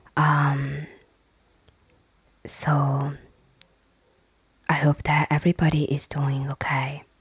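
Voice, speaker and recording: A soft-spoken woman with a very deep, low pitch talks at a very slow pace with long, frequent pauses and monotone, flat intonation, in a dry, close sound with no echo. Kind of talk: casual talk to camera, personal life update.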